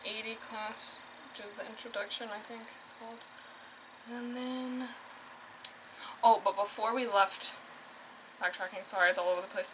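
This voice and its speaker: Against noticeable background noise, a woman talks in a flat monotone. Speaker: vlogger, nursing student. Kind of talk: casual vlog talk to camera. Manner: fast.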